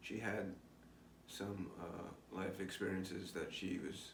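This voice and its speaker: A man with an American accent speaks in a very deep, low voice. The recording has audible room echo and noticeable background noise. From New York. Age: 50s. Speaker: spiritual vlogger. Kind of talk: personal video diary. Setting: recorded alone on camera. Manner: halting, many fillers.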